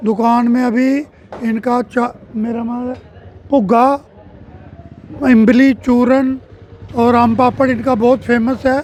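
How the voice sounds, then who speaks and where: A man talks in an extremely high voice with monotone, flat intonation. Long, frequent pauses break his speech over noticeable background noise. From Jammu. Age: 60s. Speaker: local resident and customer. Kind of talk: street interview.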